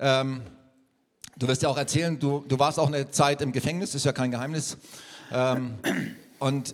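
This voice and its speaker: At a fairly quick pace, a man talks. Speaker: church leader. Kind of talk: interview. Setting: church.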